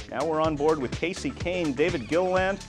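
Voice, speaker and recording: An upbeat, energetic man with an American accent, fairly high in pitch and at a fairly quick pace, over music in the background. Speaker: sports reporter and anchor. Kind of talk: TV sports anchor segment, trivia and race recap.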